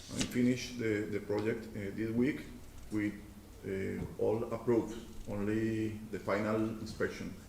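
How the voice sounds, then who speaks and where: A man with a Spanish accent, fairly low-pitched and monotone, at a fairly slow pace with long, frequent pauses, amid audible room echo and noticeable background noise. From Colombia. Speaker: property owner and contractor. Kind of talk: public hearing testimony. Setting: council chamber at podium. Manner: halting.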